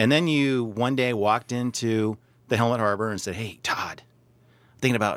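This man has a plain, everyday voice at medium pitch. He talks at a moderate pace with fairly even intonation. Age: 40s. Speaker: radio host and small business owner. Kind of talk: casual chat.

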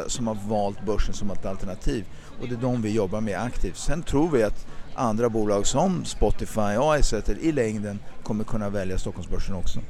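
A man at a moderate pace with lively intonation, in audible room echo. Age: 40s. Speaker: stock exchange listing executive. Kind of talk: interview. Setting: outdoors.

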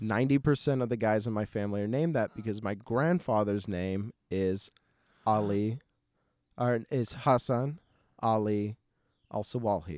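A man with an American accent and a fairly low voice, animated in tone, with ordinary pitch variation and long, frequent pauses, in a dry, close, echo-free and very clean recording against a silent background. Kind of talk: casual interview chat. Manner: animated, laughs often.

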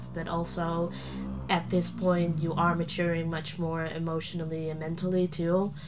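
A woman in a Dutch accent, fairly low-pitched and monotone, at a moderate pace amid noticeable background noise and audible room echo. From Netherlands, Friesland. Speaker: adoptee sharing personal story. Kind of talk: interview. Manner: hesitant, many fillers.

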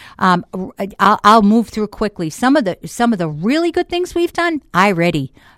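A woman with a Boston accent swings her pitch very widely in a very clean recording with a silent background. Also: fairly high pitch for a woman, moderate pace, dry, close sound with no echo. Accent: Boston accent, noticeable. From Boston, Massachusetts. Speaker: school board member. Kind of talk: casual radio interview. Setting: radio studio. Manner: animated, jokey.

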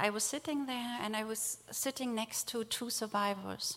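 With a German accent, the speaker keeps a moderate pace and fairly even intonation. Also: woman. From Germany, rural village. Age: 40s. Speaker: theologian and nonprofit director. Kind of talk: speech. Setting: synagogue with audience.

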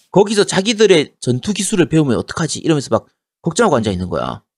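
Speaking very fast, a man with a high pitch swings his pitch very widely. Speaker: gaming podcast co-host. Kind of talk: casual chat.

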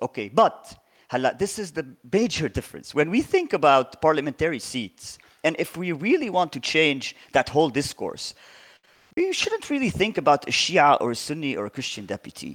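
A man with an Arabic accent speaks with vocal fry, very wide pitch swings and long, frequent pauses, the sound dry and close with no echo on a very clean recording with a silent background. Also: fairly high pitch for a man, fairly quick pace. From southern Lebanon. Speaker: lawyer and political party leader. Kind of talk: interview discussion.

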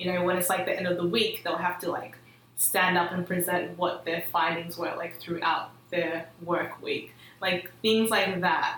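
A woman with a fairly low pitch speaks at a moderate pace, with noticeable background noise and audible room echo. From Melbourne western suburbs, Australia. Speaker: student organisation leader. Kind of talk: casual chat.

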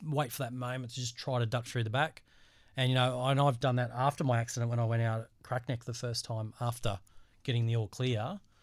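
In a very clean recording with a silent background, a man with an Australian accent speaks fairly quickly at a medium pitch with fairly even intonation. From Australia, Central Coast of New South Wales. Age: 40s. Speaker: bodysurfer. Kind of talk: casual interview. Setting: studio.

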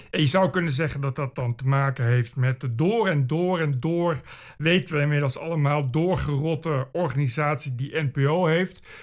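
The man's pace is moderate, and his pitch varies in an ordinary way. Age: 40s. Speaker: podcast host. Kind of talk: solo monologue. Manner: animated.

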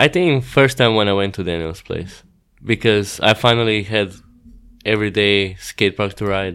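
This man has a fairly low pitch and ordinary pitch variation, talking at a moderate pace on a very clean recording with a silent background. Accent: Croatian. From Croatia. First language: Croatian. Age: 20s. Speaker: pro BMX rider. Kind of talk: casual interview chat. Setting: outdoors at a contest.

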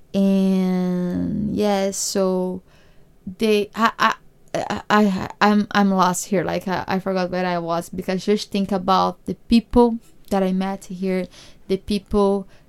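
A woman with a Brazilian accent speaks very slowly at medium pitch in a monotone, flat intonation, in a very clean recording with a silent background. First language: Portuguese. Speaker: podcast host, immigrant. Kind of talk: casual podcast monologue and interview.

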